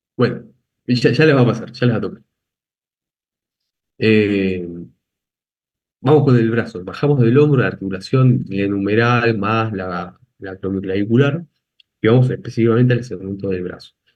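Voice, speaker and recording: A man speaks at a moderate pace with long, frequent pauses. His medium-pitched voice has ordinary pitch variation, with audible room echo. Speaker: anatomy lecturer. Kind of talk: lecture.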